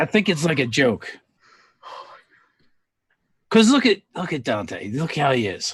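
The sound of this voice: A man puts on a character voice with a fairly high pitch and a slightly husky edge. He moves at a fairly slow pace with big pitch swings.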